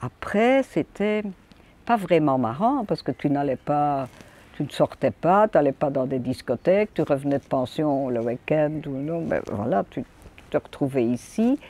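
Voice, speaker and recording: Very deep, low female voice with a dark, mellow tone and very wide pitch swings, fairly slow, in a dry, close sound with no echo. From Belgium, Wallonia (Hainaut). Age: 80s+. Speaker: elderly villager. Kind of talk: casual reminiscence.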